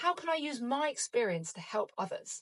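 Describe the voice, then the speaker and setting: A woman with a British accent talks in an upbeat tone, her pitch swinging very widely. The sound is dry and close, with no echo. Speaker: podcast host; breast cancer survivor. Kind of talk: reflective solo podcast monologue. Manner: upbeat, motivational.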